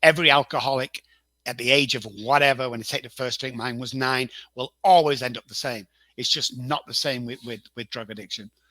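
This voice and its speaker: With an English accent, a man speaks at a fairly quick pace in a medium pitch with a bright, sharp tone, fairly even intonation and big swings in loudness, on a very clean recording with a silent background and a dry, close sound with no echo. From northern England, Manchester. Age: 60s. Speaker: addiction consultant. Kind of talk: interview.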